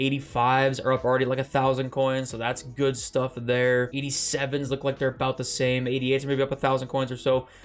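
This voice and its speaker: A man at a medium pitch talks at a very fast pace. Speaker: gaming YouTuber. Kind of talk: casual video commentary. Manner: animated.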